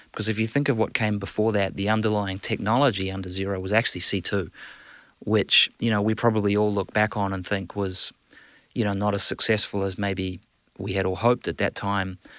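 Speaking in a New Zealand accent, a man with fairly low pitch talks at a fairly quick pace in a flat monotone. The recording is very clean, with a silent background. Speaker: business executive. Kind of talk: casual interview. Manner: hesitant, filler-heavy.

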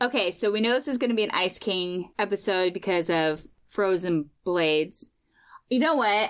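Here a woman uses a normal speaking voice at medium pitch and moderate pace, with lively intonation and very even loudness, in a very clean recording with a silent background. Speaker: podcast co-host. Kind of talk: casual chat.

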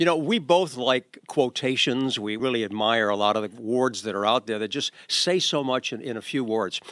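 With a plain, everyday voice, a man talks at a moderate pace and medium pitch with ordinary pitch variation, in a very clean, dry, close recording with a silent background and no echo. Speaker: radio host. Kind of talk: casual chat.

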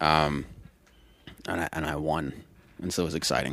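A man speaks with an American accent at a fairly quick pace. His pitch is very deep and low, with vocal fry. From US Pacific Northwest, Seattle. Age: 20s. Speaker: comedian. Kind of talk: casual chat.

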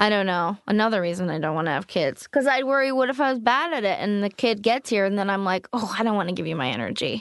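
At a very fast pace, a woman with a medium pitch speaks with very wide swings in pitch. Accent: Californian. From US West Coast, East Bay (Oakland, California). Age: 20s. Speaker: stand-up comedian. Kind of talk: casual chat. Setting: studio.

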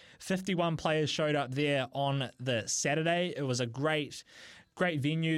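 In a very clean recording with a silent background, a man speaks with a New Zealand accent. His pitch is fairly high, his pace moderate and his pitch variation ordinary. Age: 20s. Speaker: radio host. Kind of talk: radio show.

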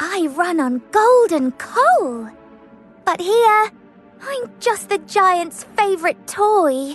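A female-sounding voice uses a put-on character voice at an extremely high pitch, with a very slow pace. Faint music plays in the background. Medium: read story. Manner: gentle.

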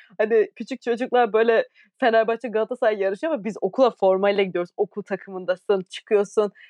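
In an ordinary speaking voice, a woman speaks at a fairly quick pace with fairly high pitch and fairly even intonation. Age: 20s. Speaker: podcast co-host, professional volleyball player. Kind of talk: casual chat.

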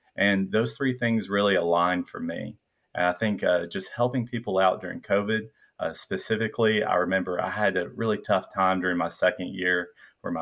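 A man with a very deep, low pitch talks at a fairly quick pace in an American accent with fairly even intonation. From Middle Tennessee. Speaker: medical student, incoming psychiatry resident. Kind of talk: casual interview chat.

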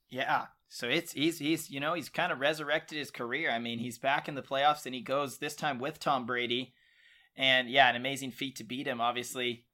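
A man with a plain, everyday voice speaks fairly quickly at a medium pitch, keeping his intonation fairly even. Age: 20s. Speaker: sports podcast co-host. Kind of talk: casual sports chat.

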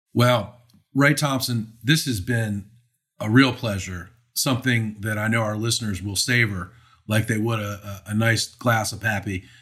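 A man with an American accent and an ordinary speaking voice, medium in pitch, at a moderate pace with fairly even intonation, in a very clean recording with a silent background. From Maryland, US. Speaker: podcast host. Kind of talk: casual interview.

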